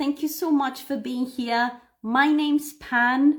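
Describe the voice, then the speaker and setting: A woman speaks at a high pitch with ordinary pitch variation. Her pace is fairly slow. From Cyprus. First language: Greek. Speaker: English teacher. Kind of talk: live stream lesson. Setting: live stream. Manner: animated.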